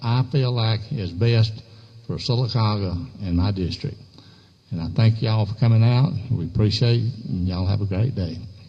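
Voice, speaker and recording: A man speaks with an Alabama accent at a medium pitch. His voice is somewhat breathy, with ordinary pitch variation. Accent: Southern US (Alabama). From US South. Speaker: political candidate. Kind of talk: campaign speech.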